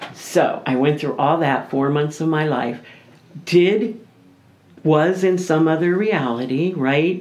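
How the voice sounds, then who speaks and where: A woman's very deep, low voice at a very slow pace, with long, frequent pauses and audible room echo. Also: ordinary pitch variation. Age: 60s. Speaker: radio show guest sharing life story. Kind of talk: casual interview chat.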